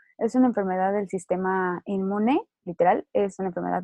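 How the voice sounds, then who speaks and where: A woman's medium-pitched voice at a moderate pace with ordinary pitch variation. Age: 20s. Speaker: lupus survivor. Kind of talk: interview testimony.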